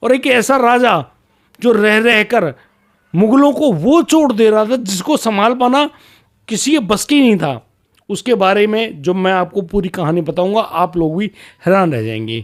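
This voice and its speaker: Speaking at a fairly slow pace, the man has a high pitch and lively intonation. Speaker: storytelling YouTuber. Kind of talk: storytelling narration. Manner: slurred, sounds drunk to some; casual, conversational.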